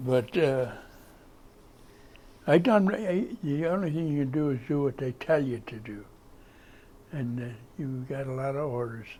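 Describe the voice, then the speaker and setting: A man with an American accent and a dark, mellow tone speaks at a fairly high pitch and a fairly slow pace, with ordinary pitch variation and long, frequent pauses. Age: 80s+. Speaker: war veteran. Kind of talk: interview answer. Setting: library.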